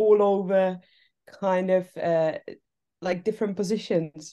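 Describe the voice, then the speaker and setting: A woman speaks with a Czech accent in a dark, mellow tone. Her medium pitch stays monotone and flat. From Czech Republic. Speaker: TV assistant director. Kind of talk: casual interview chat. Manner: hesitant, many fillers.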